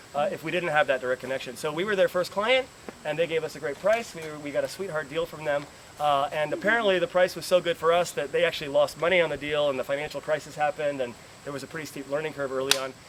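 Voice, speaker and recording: A man with an American accent speaks very fast at a fairly high pitch with ordinary pitch variation, against noticeable background noise. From New York. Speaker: school tour guide. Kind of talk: guided tour talk to visitors. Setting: outdoors.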